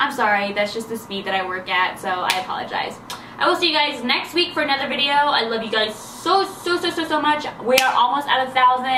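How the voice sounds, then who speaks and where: A woman's high, raised, projected voice at a fairly quick pace, with very wide pitch swings, audible room echo and noticeable background noise. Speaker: beauty vlogger. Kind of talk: casual vlog talk to camera. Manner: fast; animated.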